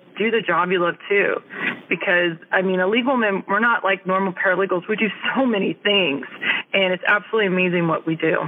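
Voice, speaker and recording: A woman with an American accent at a fairly quick pace, very even loudness and ordinary pitch variation, over noticeable background noise. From California Central Valley. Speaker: navy legalman, senior chief. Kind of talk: casual interview.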